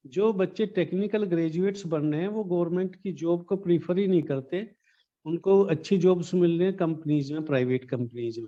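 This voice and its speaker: This man speaks at a moderate pace in a high pitch with ordinary pitch variation. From Baghpat district, Uttar Pradesh, India. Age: old. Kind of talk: interview answer.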